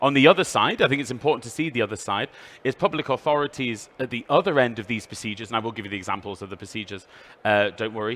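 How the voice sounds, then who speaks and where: A man with a British accent speaks at a very fast pace. His pitch is medium, with ordinary variation. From United Kingdom. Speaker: EU official presenter. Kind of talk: trade fair presentation. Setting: trade fair stand with passing audience.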